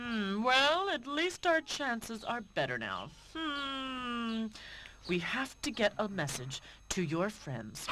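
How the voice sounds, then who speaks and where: A put-on character voice with fairly high pitch moves at a fairly slow pace over clear background noise. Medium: video game. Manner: slow, pondering with hums.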